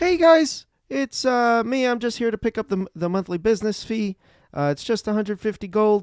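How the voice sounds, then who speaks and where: A man puts on a squeaky, high-pitched character voice with lively intonation. He talks at a moderate pace on a very clean recording with a silent background. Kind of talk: casual, bureaucratic.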